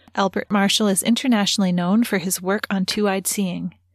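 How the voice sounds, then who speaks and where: A somewhat breathy woman at a medium pitch, with a dry, close sound, no echo, and a very clean recording with a silent background. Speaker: podcast host and interviewer. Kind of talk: scripted intro and interview.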